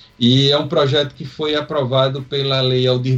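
At a moderate pace, a man talks at medium pitch in a somewhat breathy voice. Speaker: rock podcast co-host. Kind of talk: casual chat.

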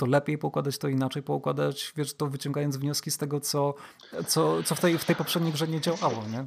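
Fairly quick and fairly high-pitched, a man delivers his lines. The recording is very clean, with a silent background. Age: 30s. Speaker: podcast host. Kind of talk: casual chat.

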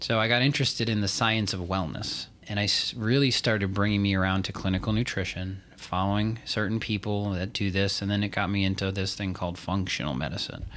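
This man has a plain, everyday voice pitched fairly low. He talks at a fairly quick pace with fairly even intonation and hardly any pauses. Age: 40s. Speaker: functional medicine pharmacist. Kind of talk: casual podcast chat.

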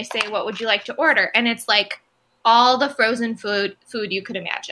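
Fairly high in pitch, a woman speaks with a plain, everyday voice and ordinary pitch variation. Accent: American. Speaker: podcast co-host. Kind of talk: casual chat. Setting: remote recording.

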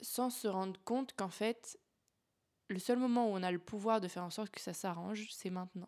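An unremarkable speaking voice from a woman, medium in pitch and fairly even in intonation, moves at a moderate pace. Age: 20s. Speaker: life coach and podcast host. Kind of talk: casual solo monologue. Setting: home, in her apartment.

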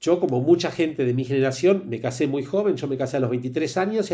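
A man with a Rioplatense accent talks at a fairly quick pace with lively intonation. His fairly high voice is somewhat breathy and dark, mellow in tone. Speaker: HR consultant and executive coach. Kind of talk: casual interview.

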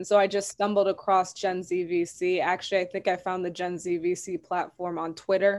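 With an American accent, a woman speaks at a fairly quick pace and a medium pitch. Her intonation is monotone and flat over a quiet background. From US Midwest, Madison, Wisconsin. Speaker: venture capital professional. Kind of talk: interview.

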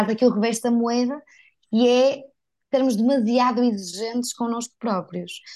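A woman speaks in a northern Portuguese accent with a fairly high pitch and a dark, mellow tone. The background is quiet. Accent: northern Portuguese (Porto), unchanged. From northern Portugal, Porto. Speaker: digital content creator and speaker. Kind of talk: interview, casual conversation.

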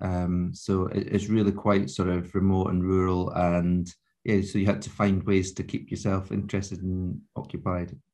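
In a Scottish accent, a man with a very deep, low pitch and a dark, mellow tone speaks in a monotone, flat intonation at a moderate pace with hardly any pauses. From Scotland, Scottish Borders. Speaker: advertising agency founder. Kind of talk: interview.

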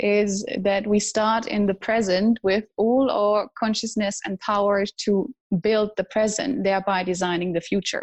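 Here a woman speaks at a moderate pace. Her intonation is fairly even. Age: 30s. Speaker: personal development trainer. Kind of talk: interview. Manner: hesitant, many fillers.

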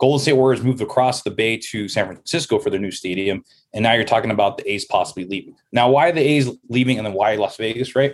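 With an American accent, a man talks at a very fast pace with hardly any pauses. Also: medium pitch for a man, ordinary pitch variation. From Los Angeles, Southern California. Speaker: podcast guest, real estate and sports writer. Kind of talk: casual interview conversation.

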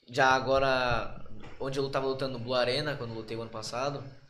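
There is audible room echo as a man talks at a medium pitch in a monotone, flat intonation. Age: 20s. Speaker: professional Muay Thai fighter. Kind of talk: casual chat.

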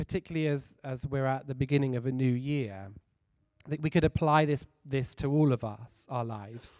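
This man talks at a moderate pace with a fairly high pitch and ordinary pitch variation, recorded very cleanly with a silent background and a dry, close sound with no echo. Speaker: lay preacher. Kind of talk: sermon. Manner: enthusiastic.

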